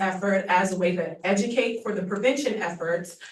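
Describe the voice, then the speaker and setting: Audible room echo and noticeable background noise accompany speech delivered at a moderate pace. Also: woman. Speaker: public health official. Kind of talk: presentation to county commission. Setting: public meeting.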